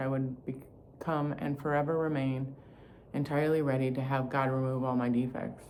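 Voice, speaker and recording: A woman speaks with a very deep, low pitch. Her intonation is flat and monotone. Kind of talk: reading a recovery book aloud.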